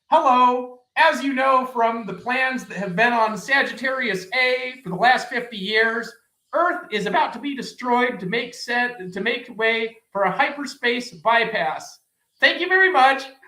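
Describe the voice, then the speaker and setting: Loud and booming, a put-on character voice with a fairly high pitch moves along at a moderate pace. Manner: flat, bureaucratic.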